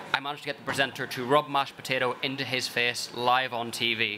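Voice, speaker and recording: The speaker has a Northern Irish accent and a monotone, flat intonation. Background noise is noticeable. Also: man. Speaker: food company director. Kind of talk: conference talk.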